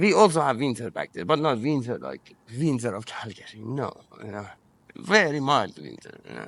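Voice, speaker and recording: A man with an Iranian accent speaks with vocal fry, very wide pitch swings and big swings in loudness. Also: medium pitch for a man, moderate pace. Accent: Iranian (Persian). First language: Persian. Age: 40s. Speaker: interviewee. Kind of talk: personal testimony. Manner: halting, frequent false starts.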